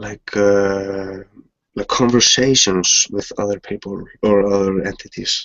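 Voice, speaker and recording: With a non-native accent, a man talks at a fairly low pitch in monotone, flat intonation. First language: not English. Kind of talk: casual chat. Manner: halting.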